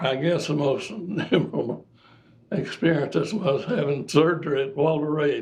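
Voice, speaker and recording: Speaking with an Appalachian accent, a man uses a fairly high voice with ordinary pitch variation. He talks at a fairly slow pace. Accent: Appalachian Kentucky. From Kentucky. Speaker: air force veteran, former teacher. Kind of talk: interview answer.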